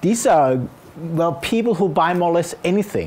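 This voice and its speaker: Against noticeable background noise, a man with a Danish accent speaks at a moderate pace, high-pitched with ordinary pitch variation. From Denmark. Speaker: innovation consultant and speaker. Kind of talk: conference talk.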